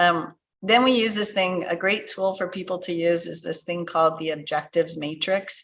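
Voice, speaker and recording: A woman with a fairly low pitch talks at a moderate pace in a normal speaking voice. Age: 60s. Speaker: business transition consultant. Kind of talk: podcast interview.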